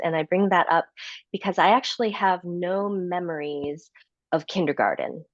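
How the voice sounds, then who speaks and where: Speaking at a fairly slow pace, a woman with a Midwestern American accent has a fairly low pitch. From Chicago suburbs, US Midwest. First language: Korean. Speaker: author and speaker. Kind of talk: interview conversation.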